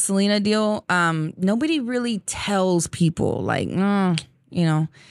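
On a very clean recording with a silent background, a woman with an American accent speaks very slowly with lively intonation. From Texas, San Antonio. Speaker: Tejano singer. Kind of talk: casual interview.

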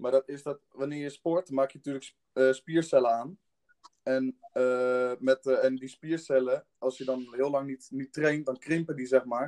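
Speaking at a fairly slow pace in a flat monotone, a man with a dark, mellow tone swings widely in loudness, and the sound is dry and close with no echo. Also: medium pitch for a man. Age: young. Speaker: student, fitness podcast co-host. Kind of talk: casual chat.

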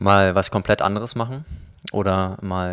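Moderately paced man at a fairly low pitch, monotone with flat intonation, in a very clean recording with a silent background. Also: dry, close sound with no echo. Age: 20s. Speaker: filmmaker. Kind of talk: casual interview.

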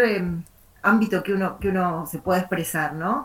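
With a medium pitch and a somewhat breathy quality, a woman is talking. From Argentina, La Plata. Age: 50s. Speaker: writer. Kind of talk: interview. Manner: rambling, many fillers and repetitions.

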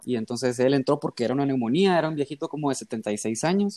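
The recording of this man is very clean, with a silent background and a dry, close sound with no echo, as he speaks at a moderate pace. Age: 20s. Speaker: medical student. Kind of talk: casual chat.

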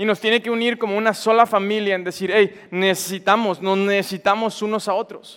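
A man speaks at a moderate pace. His voice sits high in pitch. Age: 20s. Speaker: young engaged church speaker. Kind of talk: sermon.

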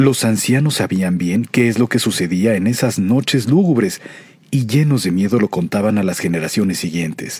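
With an ordinary speaking voice, a man speaks at a fairly low pitch and lively intonation. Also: moderate pace. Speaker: radio announcer narrating a legend. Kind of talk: scripted ghost story narration.

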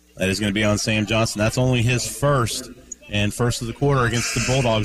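Very fast pace and monotone, flat intonation over noticeable background noise. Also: man. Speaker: radio color commentator. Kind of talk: analytical color commentary and pregame interviews. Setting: courtside at a high school gym. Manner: conversational, hesitant with frequent fillers.

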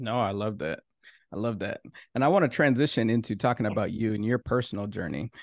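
Against a quiet background, a man with an American accent speaks very fast at a medium pitch with ordinary pitch variation, in a dry, close sound with no echo. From Minnesota. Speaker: podcast host. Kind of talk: interview.

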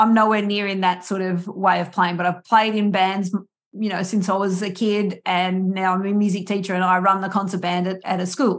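With an Australian accent, a woman speaks at a medium pitch in a flat, monotone intonation. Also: moderate pace. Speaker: podcast host and musician. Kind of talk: interview conversation.

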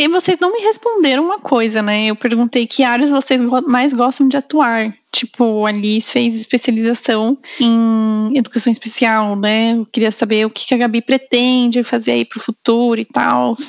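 In an ordinary speaking voice, the speaker goes at a moderate pace with ordinary pitch variation and hardly any pauses, in a dry, close sound with no echo. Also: woman, fairly high pitch for a woman. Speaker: podcast host. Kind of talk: casual chat.

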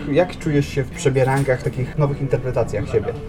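A man with a fairly high voice talks as noticeable background noise carries on. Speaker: podcast host. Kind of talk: interview. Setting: café.

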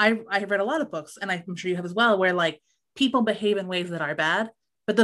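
A natural reading voice is heard, with a quiet background.

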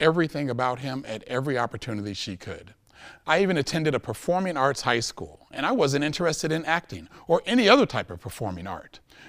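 On a very clean recording with a silent background, a man with a fairly high pitch and vocal fry speaks at a fairly quick pace, his pitch swinging very widely and his loudness shifting by big amounts. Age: 40s. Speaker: public speaker, educator. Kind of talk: prepared talk to audience. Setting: stage with audience. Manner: formal.

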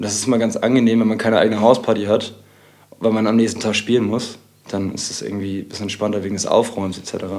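Heard with audible room echo, a man talks at a very fast pace. His fairly low voice stays monotone, with flat intonation. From Hamburg, Bergedorf. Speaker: techno DJ. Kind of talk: casual chat.

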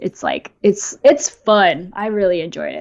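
In a Californian accent, a woman with a medium-pitched voice speaks with lively intonation on a very clean recording with a silent background. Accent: Californian American English. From California, US. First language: bilingual Japanese and English. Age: 20s. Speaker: YouTube creator and software engineer. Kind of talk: casual interview. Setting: live stream.

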